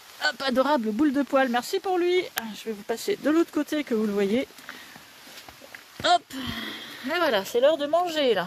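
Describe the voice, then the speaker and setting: A woman speaks in a high voice with lively intonation and long, frequent pauses. Noticeable background noise runs underneath. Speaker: dog breeder. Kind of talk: live stream chat. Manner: fast.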